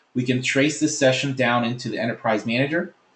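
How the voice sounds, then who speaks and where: A somewhat breathy voice at a fairly quick pace, with ordinary pitch variation. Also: man. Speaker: software presenter. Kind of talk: webinar product demo. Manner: fast.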